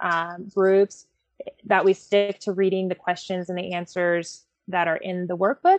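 In an ordinary speaking voice, a woman of medium pitch talks at a moderate pace with fairly even intonation. The sound is dry and close, with no echo. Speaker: associate director of groups department, group leader. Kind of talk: casual podcast interview.

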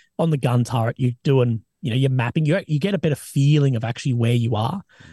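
A man with an Australian accent talks at a very fast pace in a somewhat breathy voice of dark, mellow tone and medium pitch, with ordinary pitch variation and a dry, close sound with no echo. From Australia, Adelaide. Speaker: army veteran and war correspondent. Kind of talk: casual interview chat. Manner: animated.

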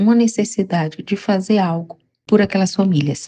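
A woman's somewhat breathy voice with a dark, mellow tone moves at a moderate pace with fairly even intonation. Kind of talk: personal testimony interview.

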